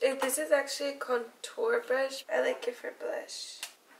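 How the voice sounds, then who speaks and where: Noticeable background noise fills the recording. Through it, a woman speaks fairly slowly. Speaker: beauty YouTuber. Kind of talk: makeup tutorial. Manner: casual, hesitant with fillers.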